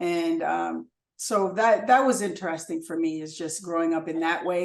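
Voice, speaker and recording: An unremarkable speaking voice belongs to a woman with a fairly low pitch. She talks at a moderate pace. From US, Chicago South Side, Haitian immigrant parents. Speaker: photographer and filmmaker. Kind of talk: interview.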